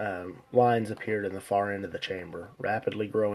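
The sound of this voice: An unforced reading voice is heard throughout.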